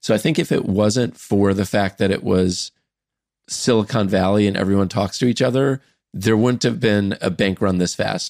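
A man with a normal speaking voice talks at a moderate pace, his fairly low pitch showing ordinary variation and his loudness very even. The recording is very clean and dry, close with no echo, over a silent background. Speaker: startup founder and investor. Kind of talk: casual chat.

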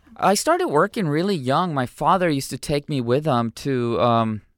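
Speaking at a moderate pace with lively intonation, a man with a Southern California accent has a fairly high pitch, the sound dry and close with no echo. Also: very clean recording, silent background. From Mexico, raised in San Diego. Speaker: musician and artist. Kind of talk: casual interview.

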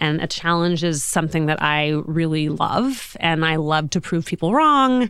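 A woman's fairly low pitch with a Californian accent, on a very clean recording with a silent background. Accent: General American (California). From Los Angeles, US. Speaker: fashion executive and entrepreneur. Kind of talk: interview. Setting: studio.

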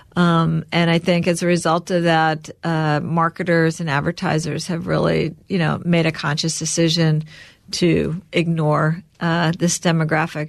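On a very clean recording with a silent background, a woman speaks at a fairly low pitch and a fairly slow pace in a monotone, flat intonation. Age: 60s. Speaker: entrepreneur, company co-founder. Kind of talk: interview.

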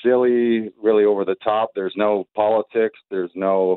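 In a Canadian accent, an unremarkable speaking voice moves at a fairly quick pace with fairly even intonation. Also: man. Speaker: comedian. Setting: phone call.

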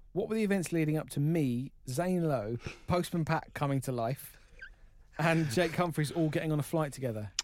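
An English accent at a moderate pace with ordinary pitch variation. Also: man, fairly high pitch for a man, very even loudness. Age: 30s. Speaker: radio producer. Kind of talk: casual chat.

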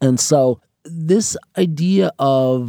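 Dry and close with no echo, this very clean recording with a silent background has a man with an American accent speaking in a dark, mellow tone with ordinary pitch variation. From New York City (Harlem, Queens). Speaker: artist and designer. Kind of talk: interview.

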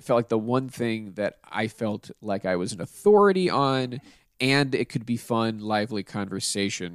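A plain, everyday voice: a man with an American accent at a medium pitch and a moderate pace, with ordinary pitch variation, a dry, close sound with no echo, and a very clean recording with a silent background. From Pittsburgh, US. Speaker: podcast host. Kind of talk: casual chat.

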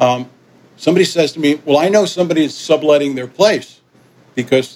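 Someone speaks in a New York accent at a moderate pace. The pitch variation is ordinary. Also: man. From New York (Yonkers), partly raised in Caribbean. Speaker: musician. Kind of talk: interview.

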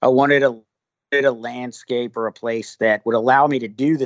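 A man is speaking. He has an American accent. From US South. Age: 40s. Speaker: military thriller author and army veteran. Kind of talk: interview. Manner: casual, with fillers and restarts.

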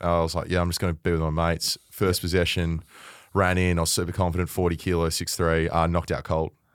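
A man talks at a very fast pace with a very deep, low pitch and flat, monotone intonation. The recording is very clean, with a silent background. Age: 30s. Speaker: media personality, former footballer. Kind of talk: casual chat.

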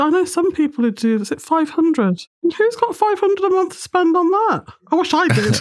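A woman with an extremely high pitch talks at a fairly quick pace, keeping her loudness very even. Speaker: podcast host. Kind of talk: casual interview chat.

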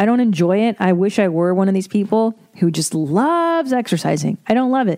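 A woman with a dark, mellow tone and medium pitch talks at a fairly quick pace with lively intonation.

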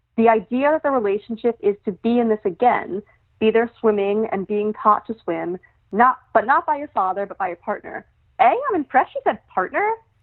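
Using a normal speaking voice with an American accent, a woman talks at a fairly quick pace with a fairly high pitch, lively intonation and big swings in loudness. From New York City (Brooklyn). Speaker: returning podcast guest, song analyst. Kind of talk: casual chat.

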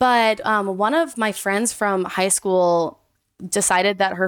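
Here a woman has an ordinary speaking voice, with ordinary pitch variation at a moderate pace. The recording is very clean with a silent background. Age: 20s. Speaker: dog owner. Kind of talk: casual chat.

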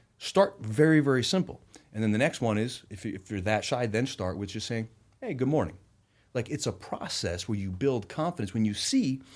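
A man with an American accent speaks at a fairly quick pace in a normal speaking voice. His fairly low pitch carries lively intonation in a very clean recording with a silent background. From Rhode Island, US. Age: 40s. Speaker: entrepreneur and investor. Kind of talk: podcast interview. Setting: studio.

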